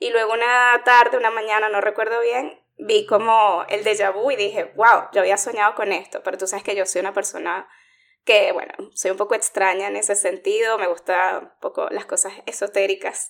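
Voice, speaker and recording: This woman has a fairly high pitch and speaks at a moderate pace with monotone, flat intonation. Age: 40s. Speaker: podcast co-host. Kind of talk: casual chat.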